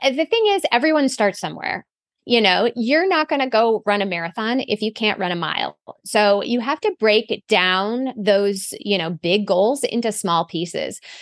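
Over a quiet background, a woman with a fairly high pitch and an ordinary speaking voice talks at a moderate pace with lively intonation, the sound dry and close with no echo. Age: 40s. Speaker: running coach. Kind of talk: casual chat.

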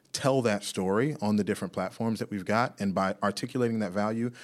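A man speaks in an ordinary speaking voice with an American accent, fairly low in pitch with ordinary variation. His pace is fairly quick, and the recording is very clean with a silent background. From Washington DC area (Silver Spring, Maryland). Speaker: realtor. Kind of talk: interview.

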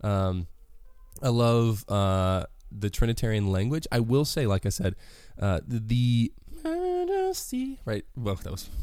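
A man speaks extremely slowly. Behind him, music is playing. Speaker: podcast host. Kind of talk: solo commentary podcast. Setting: home bedroom recording. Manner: casual, chatty.

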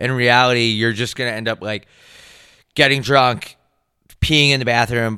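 A man speaks at a medium pitch. His voice is loud. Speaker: comedy podcast co-host. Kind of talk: casual chat.

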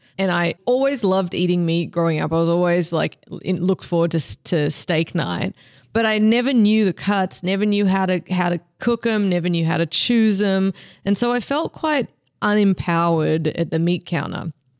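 On a very clean recording with a silent background and a dry, close sound with no echo, a woman with an Australian accent speaks at a moderate pace and very even loudness, her medium pitch showing ordinary variation. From Australia, Melbourne. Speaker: meat specialist and seasoning company founder. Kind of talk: interview. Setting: in-person at an industry meeting.

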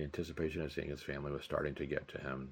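Very deep and low, a man's voice runs at a very fast pace with vocal fry. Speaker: podcast host and novelist. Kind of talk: literary audiobook reading, steady narrator's delivery of novel chapters. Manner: measured, even-paced, storytelling tone; clear, formal and expository.

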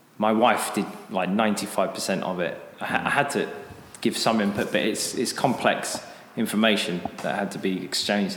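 A man speaks with a British accent and a fairly low pitch, using fairly even intonation. Noticeable background noise runs behind him. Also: moderate pace. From Britain. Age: 30s. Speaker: English teacher, school owner. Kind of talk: casual interview chat. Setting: echoey classroom.

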